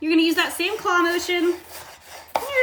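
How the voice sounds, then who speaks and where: A woman's raised, projected voice with a warm tone over noticeable background noise. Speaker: cooking instructor and health coach. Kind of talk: cooking tutorial. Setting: Instagram live stream. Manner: warm, encouraging.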